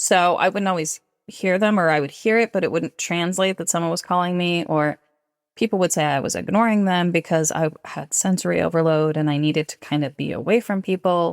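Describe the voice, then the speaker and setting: A woman with a plain, everyday voice and fairly low pitch speaks at a fairly quick pace with ordinary pitch variation, the sound dry and close with no echo in a very clean recording with a silent background. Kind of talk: interview conversation.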